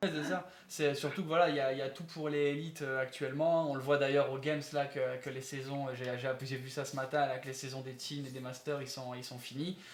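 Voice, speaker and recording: Amid noticeable background noise and audible room echo, a man with a fairly high pitch talks at a fairly quick pace in a monotone, flat way, with hardly any pauses. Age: 20s. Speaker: fitness youtuber interviewer. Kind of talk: interview. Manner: hesitant, many fillers.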